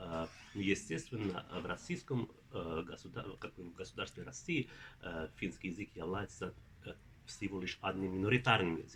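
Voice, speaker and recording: This man's very deep, low voice moves at a moderate pace with ordinary pitch variation, broken by long, frequent pauses. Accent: Finnish. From Finland. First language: Finnish (speaking Russian). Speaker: linguistics professor. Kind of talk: interview. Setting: at a conference. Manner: halting, many filler sounds.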